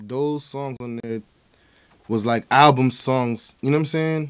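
A man is speaking. The background is quiet. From New Jersey, New Brunswick; New Jersey. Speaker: rapper; guest. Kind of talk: interview. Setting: studio. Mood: relaxed, laid-back. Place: studio. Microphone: studio mic.

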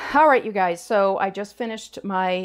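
The speaker is a woman with ordinary pitch variation. She goes at a moderate pace. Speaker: home cooking show host. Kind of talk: tutorial. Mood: cheerful, enthusiastic. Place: kitchen. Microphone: lapel.

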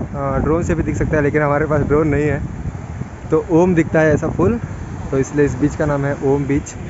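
A man speaks at a moderate pace with fairly even intonation, in a dry sound with no echo and with noticeable background noise. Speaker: travel vlogger. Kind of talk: casual vlog chat. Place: beach. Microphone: phone near.

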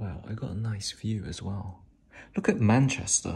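Over light background noise, a man with a fairly low, somewhat breathy voice talks at a fairly slow pace. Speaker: vlogger. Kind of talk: casual vlog chat. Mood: relaxed, mildly amused. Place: home room. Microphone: phone near.

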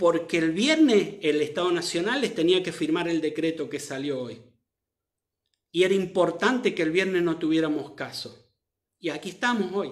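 A man at a high pitch, over a quiet background. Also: ordinary pitch variation, moderate pace. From Argentina. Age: 50s. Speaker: doctor; commentator on the pandemic. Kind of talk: live stream commentary. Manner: animated. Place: home room. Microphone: phone near.

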